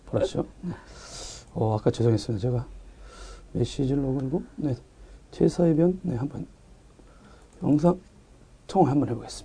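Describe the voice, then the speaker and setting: A man with a fairly high pitch, lively intonation and a dark, mellow tone with vocal fry speaks at a moderate pace, broken by long, frequent pauses. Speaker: tech podcast host. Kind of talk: casual chat.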